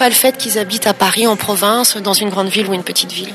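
Over noticeable background noise, a woman speaks at a fairly quick tempo. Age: 40s. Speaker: entrepreneur. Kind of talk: interview. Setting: hotel in Paris. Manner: halting.

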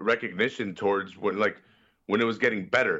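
A man with a Chicago accent. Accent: Chicago American. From Chicago, Mexican-American family. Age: 20s. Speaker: wrestling podcaster. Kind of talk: casual chat. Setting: online call.

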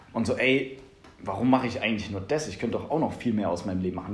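A man talks at a very fast pace. His intonation is lively, and the room echo is audible. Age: 20s. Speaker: podcast host. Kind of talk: casual chat.

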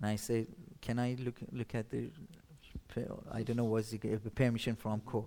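A man's dark, mellow voice in a Persian accent, medium in pitch and flat in a monotone, at a moderate pace with long, frequent pauses. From Iran, Shiraz. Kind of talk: testimony. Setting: church stage with audience. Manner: halting.

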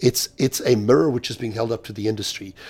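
A man talks at a fairly quick pace in a medium-pitched voice. His delivery is somewhat breathy. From South Africa. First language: Swahili. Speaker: real estate industry analyst and keynote speaker. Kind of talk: interview. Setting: hotel at a conference.

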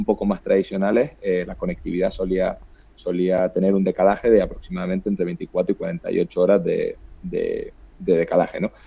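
A man with a Canarian accent. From Canary Islands. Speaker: startup co-founder and CEO. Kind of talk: interview. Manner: halting, repeats words.

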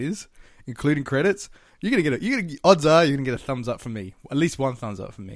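Over a quiet background, a man with an Australian accent talks at a very fast pace with a fairly high pitch and lively intonation. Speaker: podcast host. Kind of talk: casual movie review chat.

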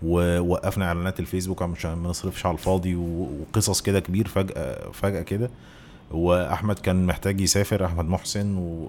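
At a moderate pace, a man speaks in a very deep, low voice with flat, monotone intonation. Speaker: business co-founder, host's former partner. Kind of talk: casual chat.

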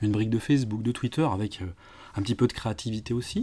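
A man with a dark, mellow tone speaks on a very clean recording with a silent background. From Lyon area, France. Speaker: digital marketing consultant and trainer. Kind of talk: interview. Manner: hesitant, many fillers.

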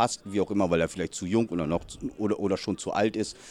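The voice belongs to a man. He keeps a fairly even intonation. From northern Germany (Lower Saxony, then Hamburg). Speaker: youth American football coach. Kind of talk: interview. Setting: outdoors at a training session.

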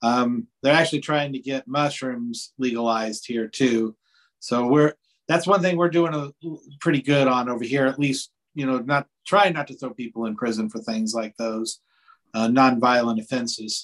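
With an American accent, a man speaks at a medium pitch and moderate pace, using ordinary pitch variation. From US Midwest, Indiana (Tippecanoe County). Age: 50s. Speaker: podcast host and musician. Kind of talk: interview. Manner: halting, many fillers and repeats.

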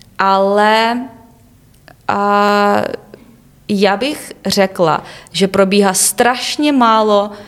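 The speaker is a woman. She uses a normal amount of pitch movement. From Ukraine, Kyiv region (Obukhiv). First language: Ukrainian/Russian (speaking Czech). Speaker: university student. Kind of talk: interview. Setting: studio.

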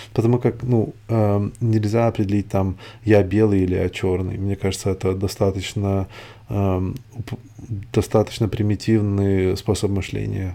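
A man with a non-native accent speaks at a fairly slow pace in a dark, mellow tone with fairly low pitch and monotone, flat intonation. The recording is very clean, with a silent background. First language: not Russian (speaking Russian). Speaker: podcaster. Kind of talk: solo monologue. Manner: halting.

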